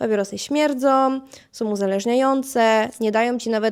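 A woman speaks at a moderate pace in an unremarkable speaking voice. Her pitch is fairly high, with fairly even intonation. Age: 20s. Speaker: podcast host. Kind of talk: solo monologue podcast. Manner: casual, chatty.

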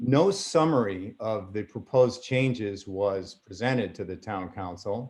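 With a normal speaking voice, this speaker moves at a fairly slow pace, with hardly any pauses and ordinary pitch variation. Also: man, fairly low pitch for a man. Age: 60s. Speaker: member of the public speaking at a town meeting. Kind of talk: public comment at a council meeting. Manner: formal.

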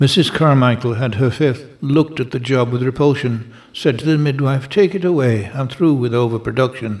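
A man talks at a moderate pace and medium pitch with hardly any pauses. He has an ordinary speaking voice. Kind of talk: poem reading. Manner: deadpan, brisk, rhythmic delivery; wry, sardonic, lightly comic.

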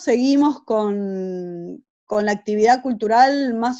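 A woman's fairly high-pitched voice with a dark, mellow tone, ordinary pitch variation and a very slow pace, over a quiet background. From Argentina. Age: 50s. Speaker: illustrator and cultural center director. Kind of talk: interview monologue. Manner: halting, many repetitions. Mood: calm, reflective. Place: home room. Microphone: webcam.

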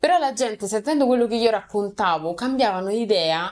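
The pace is fairly quick. Pitch swings are very wide. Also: woman. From Rome, Italy; Italy. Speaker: content creator. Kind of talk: casual interview. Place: studio.

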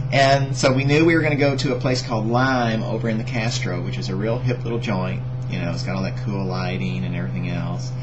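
A man rushes along at a very fast pace with hardly any pauses as noticeable background noise continues behind him. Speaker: vlogger. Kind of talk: casual vlog chat. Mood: playful, joking, laughing. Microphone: webcam.

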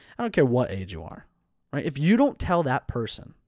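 In a dry sound with no echo and a quiet background, a man speaks at a moderate pace in an animated tone with very wide pitch swings. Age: 20s. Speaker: podcast host. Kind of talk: solo motivational talk; solo podcast monologue. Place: home room. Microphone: studio mic.

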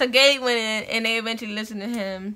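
Projecting a raised voice with a bright, sharp tone, a woman speaks at a moderate pace. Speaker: vlogger telling a story. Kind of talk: casual vlog chat. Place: home room. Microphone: phone near.

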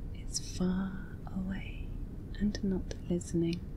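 Against noticeable background noise, a woman talks at a medium pitch with monotone, flat intonation. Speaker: hypnosis and relaxation video creator. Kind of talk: guided hypnosis script for sleep.

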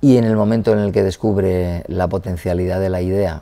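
Very deep and low, this man's voice has a dark, mellow tone. His intonation stays fairly even. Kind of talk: interview answer. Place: hall. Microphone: lapel.

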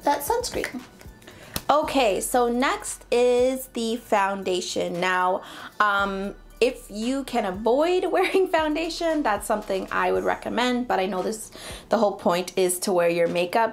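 Faint music sits in the background as a woman speaks at a fairly slow pace. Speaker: beauty vlogger. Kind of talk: tutorial.

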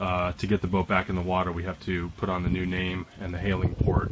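Amid noticeable background noise, a man speaks at a very deep, low pitch. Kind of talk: casual vlog chat. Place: open country. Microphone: phone near.

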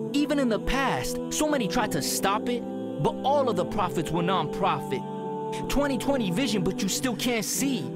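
Over background music, a man speaks at a moderate pace with very even loudness and hardly any pauses. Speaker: spoken word poet. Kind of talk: spoken word poetry performance. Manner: powerful, motivational.

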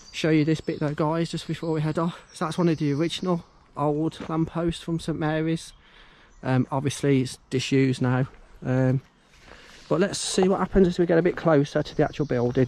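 A man talks at a fairly quick clip with fairly even intonation, the sound dry and free of echo. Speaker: urban explorer vlogger. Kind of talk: casual vlog commentary. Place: open country. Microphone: phone near.

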